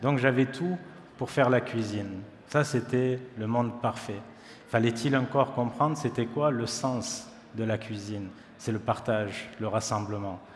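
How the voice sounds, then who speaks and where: A man at a medium pitch and fairly slow pace, with ordinary pitch variation, audible room echo and noticeable background noise. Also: big swings in loudness. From southern France, Perpignan area. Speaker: chef. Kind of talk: conference talk. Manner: casual.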